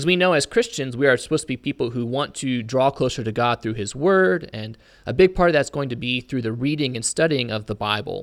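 An ordinary speaking voice from a man with an American accent, medium pitch, ordinary pitch variation, fairly quick pace and hardly any pauses, on a very clean recording with a silent background. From Indiana, US Midwest. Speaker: preacher and podcast co-host. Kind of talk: Bible study discussion.

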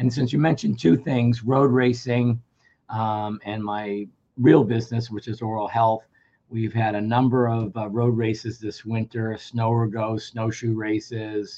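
A man's dark, mellow voice at medium pitch, monotone and flat, at a fairly slow pace. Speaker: radio host and company executive. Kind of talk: radio interview.

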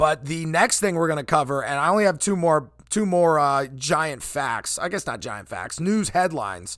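A fairly high-pitched man with an American accent, very wide pitch swings and a moderate pace, on a very clean recording with a silent background. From eastern Pennsylvania. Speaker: sports podcast host. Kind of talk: solo sports commentary podcast. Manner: loud; halting with many fillers.

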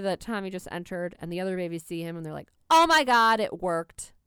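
With an American accent, a woman talks at a fairly quick pace in an ordinary speaking voice with lively intonation. The recording is very clean, with a silent background. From New York City, South Bronx. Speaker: podcast co-host. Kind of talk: casual chat.

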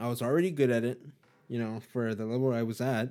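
A man with an American accent speaks at a medium pitch. His tone is dark and mellow. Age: 20s. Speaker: podcast host. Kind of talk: casual solo talk. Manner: casual, filler-heavy.

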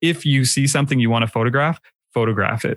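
The man has an unremarkable speaking voice with a Canadian accent, ordinary pitch variation and a fairly quick pace. The recording is very clean, with a silent background. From Canada. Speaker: film photographer and YouTuber. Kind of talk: casual interview chat.

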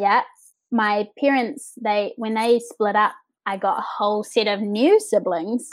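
A woman speaks with a New Zealand accent at a fairly slow pace. Her pitch is fairly high, with ordinary variation. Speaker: podcast guest, set and projection designer.

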